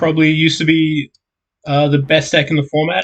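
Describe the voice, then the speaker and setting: A somewhat breathy man with an Australian accent, at a moderate pace. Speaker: podcast co-host, card game player. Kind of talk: casual chat.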